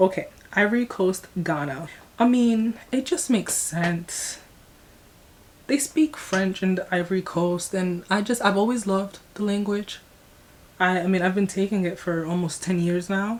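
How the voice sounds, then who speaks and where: A woman with an American accent, lively intonation and a moderate pace, over noticeable background noise. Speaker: YouTuber. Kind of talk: casual vlog reaction. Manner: rambling, long-winded.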